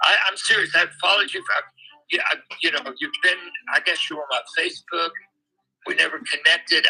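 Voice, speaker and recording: A man speaks with music playing in the background. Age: 70s. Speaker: retired choral director, livestream viewer. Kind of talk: casual chat. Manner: halting, stammering.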